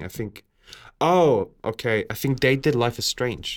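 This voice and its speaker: A man with a non-native accent at a fairly slow pace. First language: not English. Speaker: podcast co-host. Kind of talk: casual chat.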